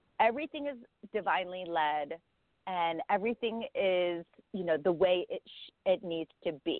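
This woman has an unremarkable speaking voice at a medium pitch, moving at a moderate pace. Her intonation is lively, with big swings in loudness. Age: 40s. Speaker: life and meditation coach. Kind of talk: casual chat; guided meditation.

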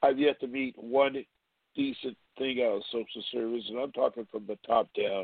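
Here is a man with a plain, everyday voice at medium pitch. He keeps a moderate pace and fairly even intonation. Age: 60s. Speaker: caller, parent. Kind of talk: phone-in story. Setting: phone call.

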